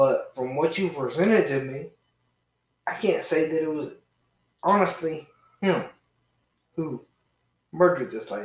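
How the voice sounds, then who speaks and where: Speaking with a Southern US accent, a man with a fairly high voice talks at a fairly slow pace, leaving long, frequent pauses. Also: ordinary pitch variation. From Georgia, US South. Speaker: podcast guest, friend of host. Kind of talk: casual chat about true crime. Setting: in person, same room as host.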